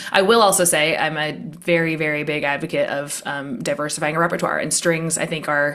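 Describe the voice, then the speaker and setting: A woman talks at a fairly quick pace, with audible room echo. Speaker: high school string teacher. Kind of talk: casual interview chat. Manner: fast.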